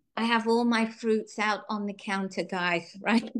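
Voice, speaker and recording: A woman's normal speaking voice, fairly high in pitch, with ordinary pitch variation at a moderate pace. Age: 60s. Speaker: Tupperware sales director. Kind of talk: presentation. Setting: video call. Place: kitchen. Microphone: video call.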